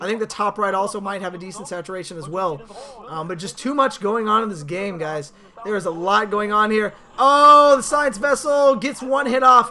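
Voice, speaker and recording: Against noticeable background noise, a man's raised, projected voice sounds animated, with high pitch, lively intonation and big swings in loudness. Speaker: esports commentator. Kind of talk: live commentary. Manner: fast.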